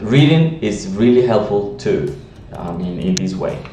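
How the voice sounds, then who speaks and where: A man with a Latin American accent at a fairly slow pace, with audible room echo and noticeable background noise. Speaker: language teacher. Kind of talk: tutorial. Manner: halting, many fillers.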